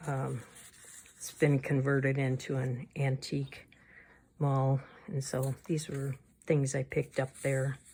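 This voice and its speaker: A woman's very deep, low voice, somewhat breathy with a dark, mellow tone, flat and monotone, broken by long, frequent pauses. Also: fairly slow pace. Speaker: crafting YouTuber. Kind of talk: casual flip-through tutorial.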